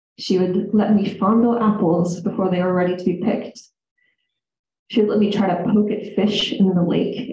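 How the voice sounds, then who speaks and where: With audible room echo, a woman speaks in a somewhat breathy voice at a moderate pace and with fairly even intonation. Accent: American. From US Midwest, central Illinois. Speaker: storyteller. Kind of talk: live storytelling to audience. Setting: stage with audience in reading room.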